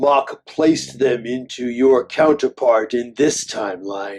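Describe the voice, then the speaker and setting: A man uses a put-on character voice at a medium pitch. He speaks at a fairly slow pace. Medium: short film. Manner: cold, clipped, emotionless.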